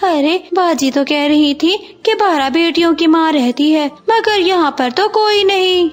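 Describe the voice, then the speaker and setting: With music in the background, a woman performs a cartoonish character voice at an extremely high pitch and a moderate pace. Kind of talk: children's cartoon voice acting.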